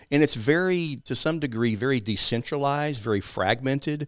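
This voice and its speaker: On a very clean recording with a silent background, a man speaks with an East Texas accent. His pitch is medium with ordinary variation, and his pace is fairly quick. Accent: East Texas Southern. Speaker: financial advisor and civic group founder. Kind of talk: interview discussing local policy.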